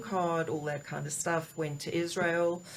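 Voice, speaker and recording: Speaking with a South African accent, a woman uses a very deep, low pitch and sounds somewhat breathy. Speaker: executive coach. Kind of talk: interview. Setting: studio.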